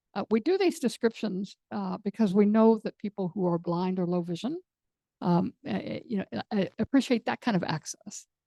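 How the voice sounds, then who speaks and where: A woman with a normal speaking voice, moderate pace and ordinary pitch variation. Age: 60s. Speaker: panel moderator, hard of hearing program manager. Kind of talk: panel discussion.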